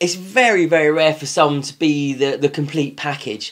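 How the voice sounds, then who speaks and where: This man speaks with a British accent. His pitch is fairly high. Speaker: business coach. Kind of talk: tutorial. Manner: fast.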